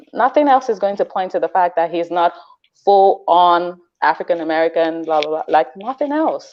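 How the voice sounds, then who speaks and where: A woman's fairly low-pitched, animated voice with a non-native accent and lively intonation, at a moderate pace. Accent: foreign. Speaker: parenting webinar guest. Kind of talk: webinar discussion.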